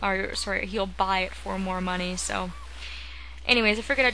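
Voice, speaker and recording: There is noticeable background noise and audible room echo as a woman speaks. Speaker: gaming video creator. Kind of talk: let's play commentary. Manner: casual, filler-heavy.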